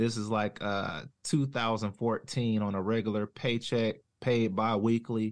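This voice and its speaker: A man with a Southern US accent speaks at a fairly slow pace and medium pitch. His intonation is monotone and flat, over a quiet background. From North Carolina. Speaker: former deputy, now plumber. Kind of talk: casual interview chat.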